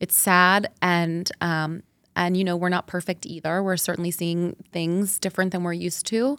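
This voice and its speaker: A woman's fairly low voice at a moderate pace, in a very clean recording with a silent background. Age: 40s. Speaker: marketing executive and mother. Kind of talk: casual chat. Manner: animated.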